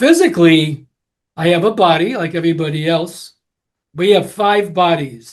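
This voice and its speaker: A man with an American accent speaks at a high pitch and a fairly slow pace. His pitch moves an ordinary amount. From Connecticut. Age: 80s+. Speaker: hair care educator. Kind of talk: live educational talk.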